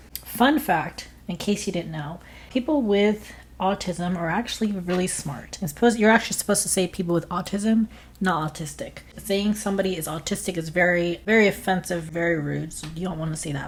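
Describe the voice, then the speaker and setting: A woman's somewhat breathy voice at a fairly quick pace, with ordinary pitch variation. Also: medium pitch for a woman. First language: Spanish. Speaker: online content creator. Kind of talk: vlog monologue. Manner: animated.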